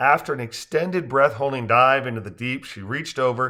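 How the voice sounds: Pitch moves in an ordinary way across a natural reading voice.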